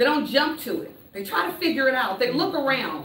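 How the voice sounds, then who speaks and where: A woman talks loudly in a high, animated voice. Noticeable background noise and audible room echo are present. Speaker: motivational speaker. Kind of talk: conference talk.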